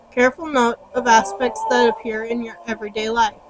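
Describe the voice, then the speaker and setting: Music plays in the background as a woman speaks at a high pitch. Her pitch variation is ordinary. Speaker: Wiccan teacher. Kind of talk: reading aloud; guided meditation. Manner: slow.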